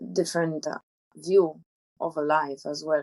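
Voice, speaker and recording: Speaking with a Polish accent, a woman has a very deep, low voice and fairly even intonation, captured in a dry, close sound with no echo. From Poland. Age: 20s. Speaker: traveller. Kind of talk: interview.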